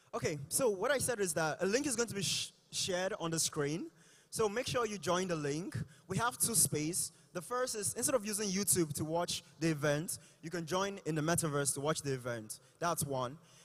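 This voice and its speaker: A man with a high pitch and lively intonation speaks against noticeable background noise. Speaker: tech company executive. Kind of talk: conference announcement. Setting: stage with audience. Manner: fast.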